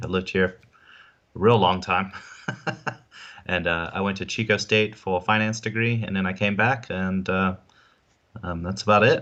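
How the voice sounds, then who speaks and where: A man with a slight South African accent speaks at a moderate pace in a very deep, low voice. His tone is bright and sharp, his intonation fairly even. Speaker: insurance agent. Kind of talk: interview on live stream. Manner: hesitant, many fillers.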